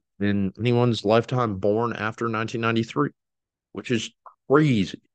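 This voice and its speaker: Against a quiet background, a normal speaking voice with an American accent moves at a moderate pace in a dry, close sound with no echo. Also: man. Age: 20s. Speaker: sports podcast host. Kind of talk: solo sports commentary podcast. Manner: casual with frequent fillers and restarts.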